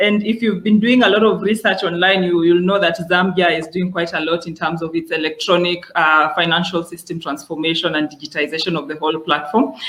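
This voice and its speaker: Over noticeable background noise, a man with a high voice talks at a fairly quick pace with fairly even intonation and hardly any pauses. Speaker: webinar host. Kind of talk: webinar introduction. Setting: online webinar.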